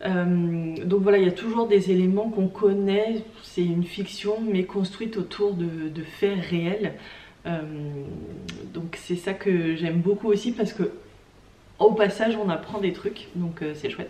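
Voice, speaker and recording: Over noticeable background noise, a woman with a medium-pitched voice speaks at a very slow pace with fairly even intonation. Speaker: craft vlogger. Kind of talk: casual vlog talk. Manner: hesitant, many fillers.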